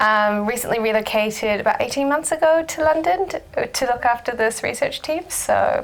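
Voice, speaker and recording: Over noticeable background noise, a woman with a high pitch talks at a moderate pace. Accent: New Zealand. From New Zealand. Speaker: research director. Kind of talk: panel discussion.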